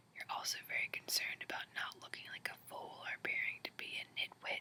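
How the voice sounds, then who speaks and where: Someone is whispering at a moderate pace. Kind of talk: horoscope reading. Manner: whispered.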